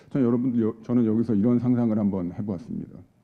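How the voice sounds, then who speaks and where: A man talks at a medium pitch. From South Korea. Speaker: accounting advisory head, seminar speaker. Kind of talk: conference presentation. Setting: conference hall with audience. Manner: formal, with frequent filler hesitations.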